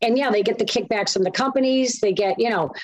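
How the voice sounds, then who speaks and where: Her pitch is fairly high and varies in an ordinary way as the woman talks. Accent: Boston. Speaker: co-host. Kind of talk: casual chat.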